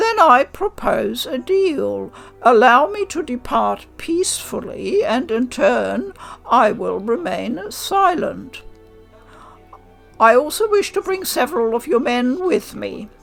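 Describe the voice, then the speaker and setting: Over faint background music, someone uses a put-on character voice at a fairly slow pace. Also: woman, high pitch for a woman. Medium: read story. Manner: formal, haughty.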